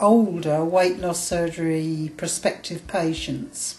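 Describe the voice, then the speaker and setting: Woman with an English accent at a very slow pace, with noticeable background noise. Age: 60s. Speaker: vlogger, weight loss surgery patient. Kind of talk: video diary. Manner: halting.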